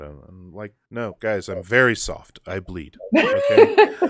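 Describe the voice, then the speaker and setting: Delivered at a fairly slow pace with fairly even intonation, the speech comes through in a very clean recording with a silent background. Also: man. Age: 30s. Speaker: political activist. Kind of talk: casual chat.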